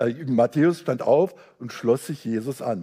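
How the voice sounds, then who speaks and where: A man talks at a fairly slow pace in a dark, mellow tone. His fairly high voice moves with lively intonation. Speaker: visiting preacher.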